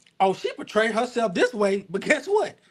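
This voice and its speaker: A man is speaking. His pitch swings very widely. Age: 20s. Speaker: podcast guest. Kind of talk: casual chat.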